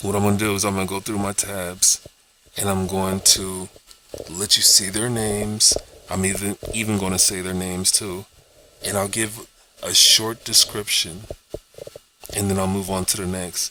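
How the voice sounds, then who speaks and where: Noticeable background noise sits behind a man with fairly low pitch and a monotone, flat intonation. He moves at a moderate pace with long, frequent pauses. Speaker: YouTuber. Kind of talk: casual vlog monologue. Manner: casual, repetitive, halting at times.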